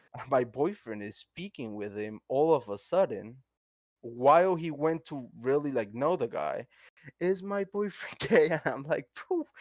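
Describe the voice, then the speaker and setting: Speaking with a Spanish accent, a man uses a fairly high voice and an animated tone at a fairly slow pace. His pitch swings very widely and his loudness shifts in big swings. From Colombia. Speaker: podcast co-host. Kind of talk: casual chat.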